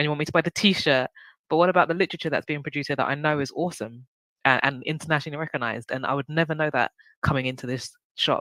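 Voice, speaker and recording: The speaker has a strong British accent. The pace is very fast. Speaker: book show host. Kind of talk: interview.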